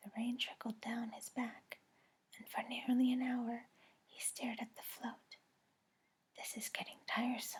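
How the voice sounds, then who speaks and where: Whispering and soft-spoken, the voice moves at a fairly slow pace with long, frequent pauses. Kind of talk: audiobook read-aloud for sleep. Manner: whispered, soft-spoken.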